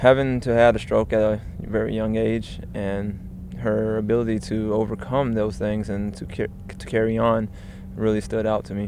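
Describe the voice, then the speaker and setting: With an ordinary speaking voice, a man speaks at a moderate pace, with fairly low pitch and fairly even intonation. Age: 20s. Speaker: air force service member. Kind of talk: testimony.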